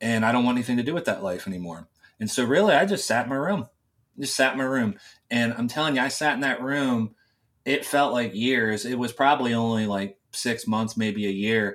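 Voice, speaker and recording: A man with an American accent speaks in a normal speaking voice at a medium pitch and a fairly quick pace. His pitch variation is ordinary, and the recording is very clean with a silent background. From US South, West Virginia small town. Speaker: former far-right YouTuber. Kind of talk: casual interview chat.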